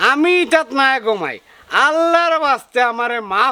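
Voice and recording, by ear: Doing a put-on character voice, a man speaks at an extremely high pitch and a moderate pace. His tone is bright and sharp yet clear and smooth, with big pitch swings.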